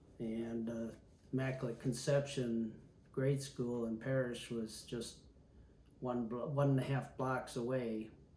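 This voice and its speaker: A man's somewhat breathy, dark, mellow voice of medium pitch, with an Upper Midwest accent, monotone and flat, at a fairly slow pace, with audible room echo. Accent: Upper Midwest American. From Milwaukee, Wisconsin, US Midwest. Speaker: retired pilot. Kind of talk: oral history interview. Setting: at home.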